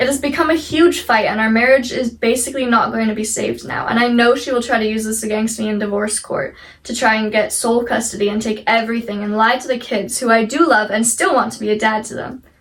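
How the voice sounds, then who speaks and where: A woman's fairly high voice at a very fast pace with hardly any pauses, amid noticeable background noise. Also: fairly even intonation. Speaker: YouTuber reading online stories. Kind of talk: reading aloud. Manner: expressive, emphatic reading.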